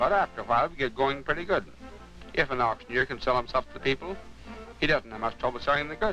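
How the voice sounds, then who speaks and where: With music in the background, a man speaks very fast in a fairly high voice that swings very widely in pitch. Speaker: country auctioneer. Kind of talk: documentary voice-over narration. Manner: plain, conversational, folksy.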